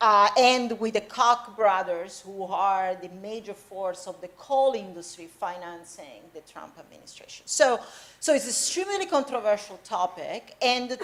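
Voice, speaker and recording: This woman has an Italian accent and a fairly high pitch. Her intonation is lively. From Italy. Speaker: professor. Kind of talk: public lecture conversation.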